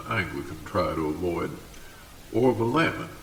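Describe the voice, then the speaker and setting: Over background music and audible room echo, a man with a very deep, low pitch speaks at a moderate pace. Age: 60s. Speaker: local historian. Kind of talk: video essay. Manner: formal.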